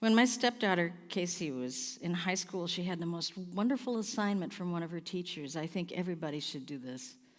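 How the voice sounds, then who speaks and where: In a very clean recording with a silent background, a woman with an unremarkable speaking voice and fairly low pitch talks at a fairly quick pace with lively intonation and hardly any pauses. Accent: American. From US Pacific Northwest. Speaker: singer-songwriter performing a one-woman play. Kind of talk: theatrical monologue.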